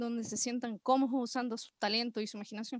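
A woman speaks in a high pitch with monotone, flat intonation, the sound dry and close with no echo. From Chile, Villa Alemana, Valparaíso region. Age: 30s. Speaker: music producer. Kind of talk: interview. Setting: online call.

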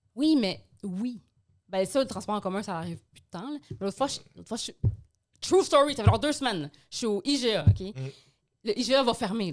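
Her pitch fairly high and swinging very widely, a woman talks at a moderate pace with vocal fry, big swings in loudness and long, frequent pauses. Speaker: podcast co-host. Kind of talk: casual chat.

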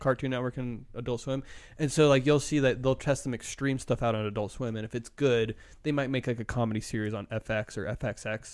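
A man with an unremarkable speaking voice, medium pitch, fairly even intonation and a fairly quick pace, on a very clean recording with a silent background. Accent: American. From Arizona. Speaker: graphic designer. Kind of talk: casual chat.

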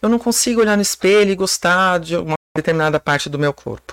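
A woman with a plain, everyday voice talks at a moderate pace and a fairly low pitch, with lively intonation, in a very clean recording with a silent background and a dry, close sound with no echo. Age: 40s. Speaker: personal trainer. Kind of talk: casual chat.

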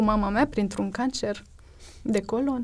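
Her intonation fairly even, this woman talks at a fairly high pitch. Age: 30s. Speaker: doctor. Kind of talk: interview testimony.

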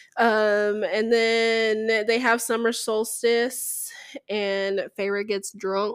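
A woman speaks at a very slow pace in a fairly high pitch. Her intonation is monotone and flat. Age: 30s. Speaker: podcast co-host. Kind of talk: casual chat.

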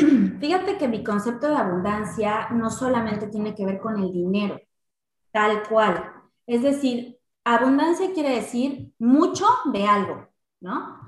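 Somewhat breathy and fairly high in pitch, a woman speaks fairly slowly with lively intonation. Audible echo surrounds her in the room. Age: 30s. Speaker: insurance and investment specialist. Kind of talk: casual interview chat.

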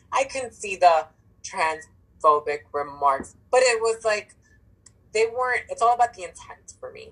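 A woman speaks in an animated tone with lively intonation. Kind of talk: casual chat. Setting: phone or video call. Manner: hyper, animated.

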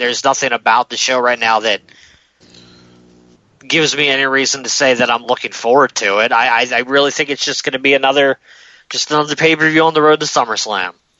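A man puts on a raspy character voice at medium pitch, talking at a fairly quick pace. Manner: unenthusiastic, flat.

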